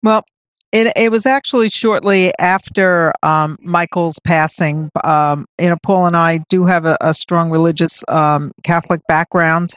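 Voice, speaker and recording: A woman in an unremarkable speaking voice talks at a fairly low pitch with ordinary pitch variation and very even loudness, on a very clean recording with a silent background and a dry, close sound with no echo. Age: 60s. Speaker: charity co-founder. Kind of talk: interview.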